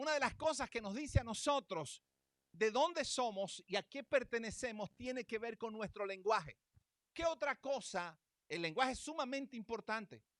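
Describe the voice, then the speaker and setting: With a Venezuelan accent, a man with an extremely high pitch speaks in an animated tone and lively intonation, recorded dry and close with no echo. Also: moderate pace. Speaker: pastor. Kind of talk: sermon.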